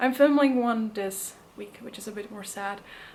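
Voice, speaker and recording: A woman's voice carries audible room echo. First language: not English. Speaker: actor. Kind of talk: casual vlog. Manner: hesitant, many fillers.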